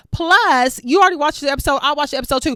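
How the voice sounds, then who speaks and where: A woman speaks loud at a high pitch in an animated tone. Her pitch variation is ordinary. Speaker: TV recap YouTuber. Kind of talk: casual recap monologue.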